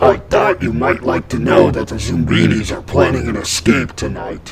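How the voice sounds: A man puts on a character voice with an extremely low pitch, vocal fry and lively intonation. He speaks at a moderate pace over faint background noise.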